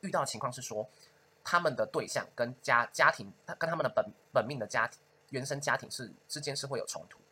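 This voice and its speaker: Talking at a very fast pace, a man's voice makes big swings in loudness. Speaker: podcast host and astrologer. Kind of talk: casual chat.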